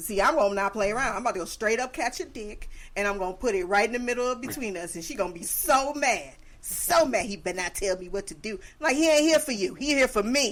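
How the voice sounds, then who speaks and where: A woman races along at a very fast pace with a fairly high pitch and an animated tone. Her intonation is lively, and her loudness swings widely. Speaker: podcast host. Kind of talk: casual chat.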